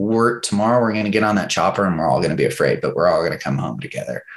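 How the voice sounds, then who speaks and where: Putting on a raspy character voice at medium pitch, a man speaks at a very fast pace. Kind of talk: calm, serious. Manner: warm, reassuring, fatherly.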